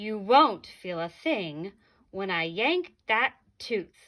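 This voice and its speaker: In a put-on character voice, a woman at a medium pitch speaks at a very slow pace on a very clean recording with a silent background. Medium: read story.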